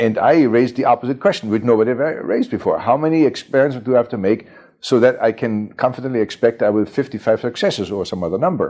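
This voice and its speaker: A man's very fast speech with a German accent, medium pitch, a dark, mellow tone, ordinary pitch variation and hardly any pauses. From Germany (Bavaria, near Munich), born in Chicago. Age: 70s. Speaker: computer pioneer, mathematician. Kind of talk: oral history interview. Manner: hesitant, many fillers and repetitions.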